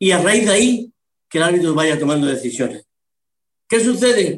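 This man has a high pitch and ordinary pitch variation. He speaks at a moderate pace. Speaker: retired football referee and media pundit. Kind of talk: casual interview.

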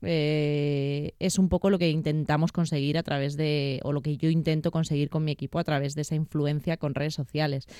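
At a moderate pace, a woman speaks in a very deep, low, dark and mellow voice with flat, monotone intonation and a dry, close sound with no echo. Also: hardly any pauses, very clean recording, silent background. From Madrid, Spain. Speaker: personal trainer and physiotherapist. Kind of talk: interview.

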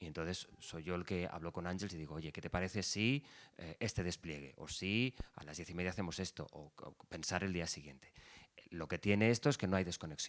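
This man has a very deep, low voice. He speaks at a fairly quick pace. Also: ordinary pitch variation, big swings in loudness. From Valencia region, Spain (Ribera, Alberic). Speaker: radio journalist. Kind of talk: interview conversation.

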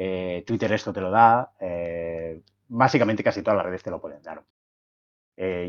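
Against a quiet background, the pitch varies in an ordinary way and the pace is moderate. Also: man. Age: 40s. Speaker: science communicator. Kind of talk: casual interview conversation. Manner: hesitant, many fillers.

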